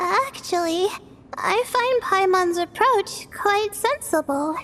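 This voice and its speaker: In a soft-spoken, put-on character voice, the speaker uses lively intonation. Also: woman. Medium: fan dub. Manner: soft-spoken, hesitant, stammering.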